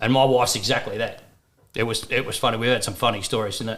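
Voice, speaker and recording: A man with an Australian accent speaks at a very fast pace. His pitch is medium and his intonation fairly even. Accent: thick Australian. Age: 50s. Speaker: first-time father. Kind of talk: casual chat.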